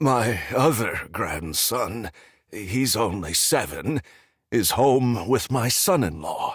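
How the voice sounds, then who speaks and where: A raspy, strained put-on character voice from a man, medium in pitch, very slow and swinging very widely in pitch. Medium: read story. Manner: grim, restrained.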